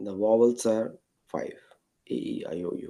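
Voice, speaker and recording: With an Indian accent, a man talks at a fairly slow pace. His tone is dark and mellow. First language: Marathi. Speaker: guest speaker. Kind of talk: lecture.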